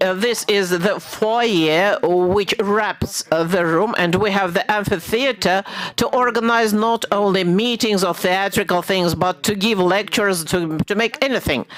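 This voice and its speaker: Over noticeable background noise, a woman talks fairly slowly at a medium pitch with hardly any pauses, very even loudness and ordinary pitch variation. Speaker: architect presenting a competition entry. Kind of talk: presentation answering jury question.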